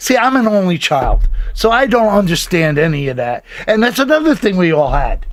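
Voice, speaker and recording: Noticeable background noise behind a high-pitched man with an American accent and very wide pitch swings. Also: moderate pace. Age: 70s. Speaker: podcast host. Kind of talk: casual chat. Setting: studio.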